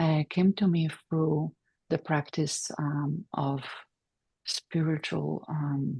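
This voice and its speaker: Against a quiet background, a woman with a Polish accent speaks very slowly with long, frequent pauses, her very deep, low voice dark, mellow and somewhat breathy, with fairly even intonation. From Poland, Silesia. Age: 40s. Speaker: PhD candidate and meditation teacher. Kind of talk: academic presentation. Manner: halting, many fillers.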